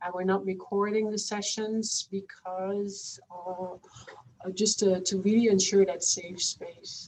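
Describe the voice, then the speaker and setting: Against noticeable background noise, a woman with a non-native accent speaks at a medium pitch in a monotone, flat way, at a very slow pace with hardly any pauses. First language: not English. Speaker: researcher. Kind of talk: panel discussion. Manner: halting.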